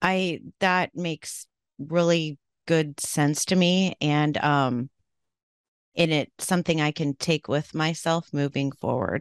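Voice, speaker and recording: In a West Coast accent, the speaker goes at a very slow pace with fairly even intonation. The sound is dry and close with no echo over a quiet background. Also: woman, very deep, low pitch for a woman. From Oregon, US. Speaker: podcast host. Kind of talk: interview.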